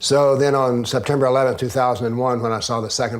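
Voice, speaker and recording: In a Southern US accent, a man talks at a very fast pace with monotone, flat intonation. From US South. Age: 70s. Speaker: author and former professor. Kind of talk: interview.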